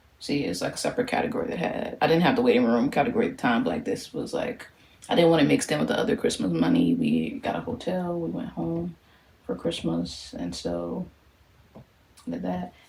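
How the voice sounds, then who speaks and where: Noticeable noise sits in the background. Over it, a woman talks fairly quickly. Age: 20s. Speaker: social worker. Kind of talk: casual talk to camera.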